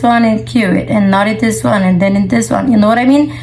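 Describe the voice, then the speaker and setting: A woman with a non-native accent is heard with audible room echo and noticeable background noise. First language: not English. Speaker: resin artist. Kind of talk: tutorial. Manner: casual.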